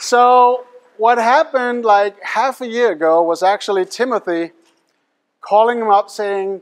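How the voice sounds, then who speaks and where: With a non-native accent, the speech moves at a fairly slow pace. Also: man, high pitch for a man, ordinary pitch variation. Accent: foreign accent in English. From Denmark. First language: Danish. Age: young. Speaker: hypnotist and mentalist performer. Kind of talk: live stage show patter. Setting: stage with audience. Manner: animated.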